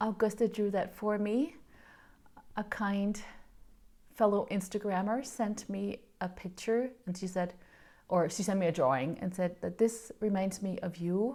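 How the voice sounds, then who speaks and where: With a Danish accent, the speaker uses a dark, mellow tone and ordinary pitch variation, going at a fairly slow pace with long, frequent pauses. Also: woman, medium pitch for a woman. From Denmark. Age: 40s. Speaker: knitting podcaster. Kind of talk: casual vlog chat.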